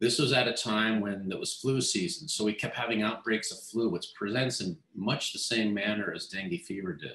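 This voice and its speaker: The speaker talks at a moderate pace with ordinary pitch variation and hardly any pauses, and the room echo is audible. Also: man. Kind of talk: interview answer. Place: office. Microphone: video call.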